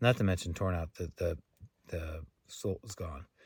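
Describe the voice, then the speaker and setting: A soft-spoken, somewhat breathy voice on a very clean recording with a silent background. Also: man. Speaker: thru-hiker vlogger. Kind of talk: casual vlog to camera. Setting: outdoors in a tent camp. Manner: halting, many fillers.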